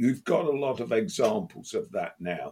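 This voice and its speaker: Speaking with an English accent, a man talks at a fairly slow pace. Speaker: football podcast co-host. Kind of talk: casual chat.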